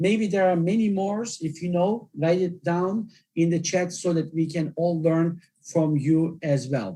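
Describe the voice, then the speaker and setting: This man has a high pitch and a dark, mellow tone, speaking at a fairly slow pace in a non-native accent with fairly even intonation. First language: not English. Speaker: journal editor giving webinar talk. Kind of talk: lecture. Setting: online webinar.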